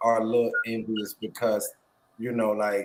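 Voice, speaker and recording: A man with an American accent and medium pitch has a plain, everyday voice and speaks at a moderate pace. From Florida, Pensacola. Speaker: mental health advocate. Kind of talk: casual chat.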